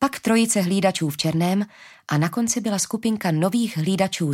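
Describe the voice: Ordinary pitch variation in plain reading aloud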